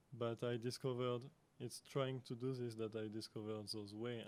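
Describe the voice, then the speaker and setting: A man with a French accent, at medium pitch and a moderate pace, in a monotone, flat intonation. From France. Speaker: artist and lecturer. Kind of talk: conference Q&A answer. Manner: halting, many fillers.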